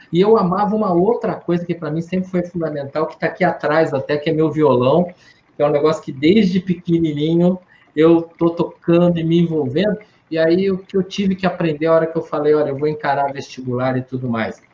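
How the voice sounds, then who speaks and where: At a fairly quick pace, a man with a high pitch and a dark, mellow tone talks with ordinary pitch variation. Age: 60s. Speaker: psychologist. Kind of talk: Q&A talk with students.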